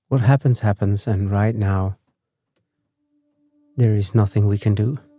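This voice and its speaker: A man talks at a fairly slow pace in a fairly low pitch, with fairly even intonation and a calm, gentle tone. His voice is somewhat breathy, and the sound is dry and close with no echo. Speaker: sleep podcast host. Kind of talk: sleep podcast, gentle rambling talk. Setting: recorded at home on an armchair. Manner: calm, gentle, slow.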